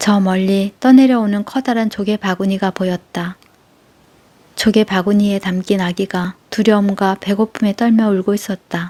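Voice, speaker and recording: In a dry, close sound with no echo, a woman with a medium pitch and a dark, mellow tone speaks in a monotone, flat way. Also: moderate pace. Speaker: audiobook narrator. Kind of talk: sleep story.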